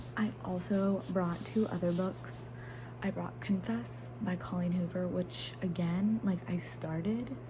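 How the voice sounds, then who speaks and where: Quiet and very slow, a woman speaks amid noticeable background noise and audible room echo. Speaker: book vlogger. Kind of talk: casual vlog talk. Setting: home, filming at night while roommates sleep.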